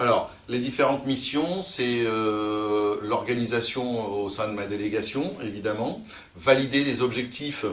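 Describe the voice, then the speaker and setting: Audible room echo surrounds a man's voice. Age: 40s. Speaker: sales manager. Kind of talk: career interview. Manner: hesitant, many fillers.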